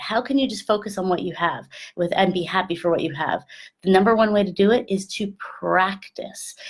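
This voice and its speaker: Here a woman talks in an animated tone at a fairly quick pace. Her voice is somewhat breathy. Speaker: love and sex coach. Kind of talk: motivational talk to camera. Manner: fast.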